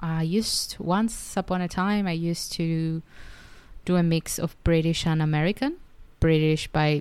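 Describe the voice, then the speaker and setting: A woman with a Spanish accent talks at a moderate pace with a fairly low pitch and ordinary pitch variation, in a very clean recording with a silent background. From Argentina. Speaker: podcaster and writer. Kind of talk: solo podcast monologue.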